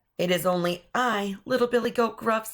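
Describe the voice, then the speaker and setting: A raspy, female-sounding put-on character voice with fairly high pitch at a moderate pace. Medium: read story.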